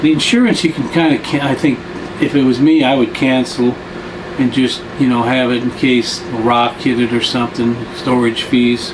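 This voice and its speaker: A man with an American accent, fairly slow and fairly even in intonation, against noticeable background noise. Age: 70s. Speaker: retiree travel vlogger. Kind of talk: casual monologue. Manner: halting, with many fillers.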